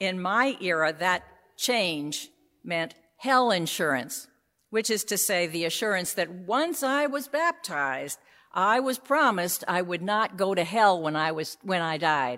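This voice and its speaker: Using an American accent, a woman speaks fairly slowly at medium pitch in a bright, sharp tone, her pitch swinging very widely on a very clean recording with a silent background. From US, New York City. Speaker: priest. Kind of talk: sermon.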